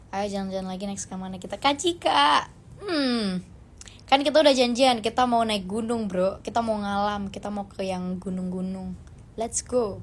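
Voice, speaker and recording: A somewhat breathy woman at medium pitch and moderate pace, with big swings in loudness. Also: ordinary pitch variation. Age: 20s. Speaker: actress. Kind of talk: casual chat. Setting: Instagram live stream.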